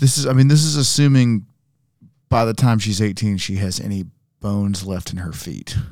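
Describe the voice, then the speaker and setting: A plain, everyday voice from a man, fairly low in pitch, at a moderate pace with ordinary pitch variation. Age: 40s. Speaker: basketball podcast co-host. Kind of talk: casual chat. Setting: studio.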